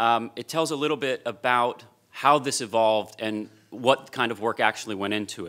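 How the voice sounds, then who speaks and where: Over a quiet background, a man speaks at medium pitch with a bright, sharp tone. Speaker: business school dean; panelist. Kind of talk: panel presentation. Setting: stage with audience. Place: hall. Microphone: podium.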